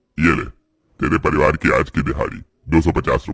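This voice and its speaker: This is a man doing a cartoonish character voice. He talks at a fairly quick pace. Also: very deep, low pitch for a man. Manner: rough, condescending.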